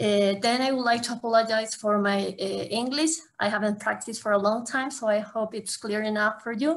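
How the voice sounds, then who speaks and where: A woman speaks in an Ecuadorian accent at a fairly high pitch. She leaves hardly any pauses. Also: fairly even intonation, fairly quick pace. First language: Spanish. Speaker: academic and zero waste activist. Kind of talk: conference panel talk.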